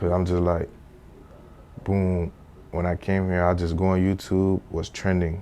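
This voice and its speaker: A man with a Haitian accent speaks in a very deep, low, dark and mellow voice, with monotone, flat intonation and very even loudness, at a fairly slow pace with long, frequent pauses. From Haiti, moved to South Florida at about seven. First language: Haitian Creole. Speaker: rapper and studio engineer. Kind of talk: casual interview. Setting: sit-down interview. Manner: casual slangy delivery.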